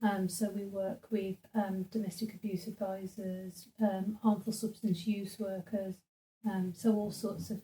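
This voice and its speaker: A woman's dark, mellow, somewhat breathy voice, fairly slow and flat in a monotone. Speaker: social work team manager. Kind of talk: interview.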